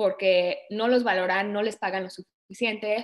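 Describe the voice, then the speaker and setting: Speaking at a moderate pace, a woman uses an unremarkable speaking voice with fairly high pitch and ordinary pitch variation. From Canada (born in Mexico, moved at age 4). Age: 20s. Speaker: project manager in cybersecurity. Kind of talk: interview.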